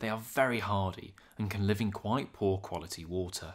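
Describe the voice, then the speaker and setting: A man speaks with a British accent at a fairly low pitch. His pace is moderate, and the recording is very clean with a silent background. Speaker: wildlife video narrator. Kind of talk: scripted nature documentary narration of fish facts, read steadily. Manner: measured, even and informative; formal, clear and matter-of-fact.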